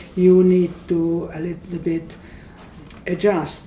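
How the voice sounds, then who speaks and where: A woman talks with a Hungarian accent. Audible room echo and noticeable background noise surround her. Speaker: immigrant panelist. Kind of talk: panel discussion.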